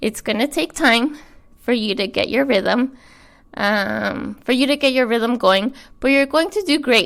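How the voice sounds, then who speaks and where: A woman's high-pitched voice with ordinary pitch variation and very even loudness, at a fairly slow pace, on a very clean recording with a silent background. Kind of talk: reading aloud own letter.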